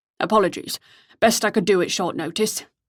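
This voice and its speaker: Putting on a character voice, a woman talks at a fairly quick pace and medium pitch with lively intonation. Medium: read story. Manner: formal, pompous, courteous.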